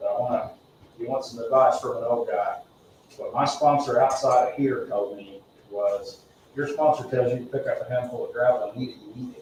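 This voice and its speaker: A man talks at a fairly quick pace with big swings in loudness. Noticeable background noise and audible room echo fill the recording. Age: 50s. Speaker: recovering alcoholic speaking at AA meeting. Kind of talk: testimony. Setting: meeting room, livestreamed. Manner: halting.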